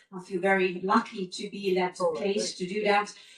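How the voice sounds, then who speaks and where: A woman with a medium pitch talks while noticeable background noise continues. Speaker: expedition leader giving a conference talk. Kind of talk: conference presentation. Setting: conference stage with audience.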